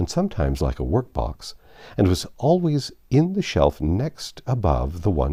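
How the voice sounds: What you hear is a natural reading voice.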